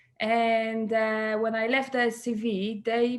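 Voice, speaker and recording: A woman with a Polish accent speaks at a fairly high pitch against a quiet background. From Poland. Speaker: salon co-owner and hairdresser. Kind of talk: interview conversation.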